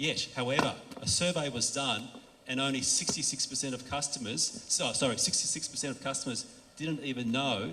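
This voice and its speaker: A man with an Australian accent at medium pitch and moderate pace, with ordinary pitch variation, noticeable background noise and audible room echo. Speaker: industry conference speaker. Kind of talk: conference talk. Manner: casual, with frequent fillers and restarts.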